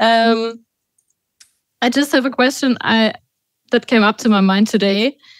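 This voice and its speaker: The speaker has a German accent, a fairly slow pace and long, frequent pauses, with fairly even intonation. The sound is dry with no echo, and the background is quiet. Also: woman. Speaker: radio interviewer. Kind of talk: interview. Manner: halting. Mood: relaxed, friendly. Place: studio. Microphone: studio mic.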